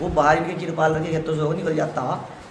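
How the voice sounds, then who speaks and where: A man's moderately paced speech comes with audible room echo and noticeable background noise. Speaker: villager. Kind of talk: interview testimony.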